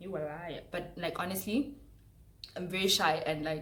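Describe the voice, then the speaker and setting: The speaker has a South African accent and a moderate pace, with ordinary pitch variation. Room echo is audible. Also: woman. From South Africa, Mpumalanga. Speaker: YouTuber. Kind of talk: casual chat. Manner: loud; animated.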